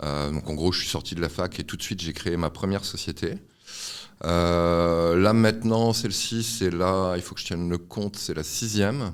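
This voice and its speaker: The recording is very clean with a silent background. A man speaks at a moderate pace with a very deep, low pitch and ordinary pitch variation. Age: 40s. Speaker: tech startup founder and serial entrepreneur. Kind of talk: interview. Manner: hesitant, many fillers.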